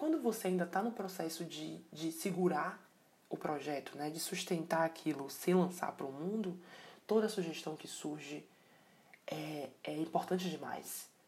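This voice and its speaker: A woman speaks at a moderate pace with a fairly low pitch. Her pitch varies in an ordinary way, while her loudness swings widely. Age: 20s. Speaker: podcast host. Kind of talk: solo reflective monologue. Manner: casual, with many hesitations and filler words.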